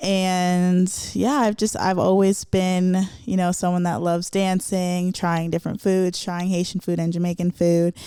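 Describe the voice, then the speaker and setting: In a Florida accent, a woman of medium pitch and a dark, mellow tone speaks at a fairly slow pace with monotone, flat intonation and very even loudness on a very clean recording with a silent background. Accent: American, Florida. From South Florida, Broward County. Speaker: professional soccer player and podcast host. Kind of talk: personal storytelling monologue. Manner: casual, with many fillers.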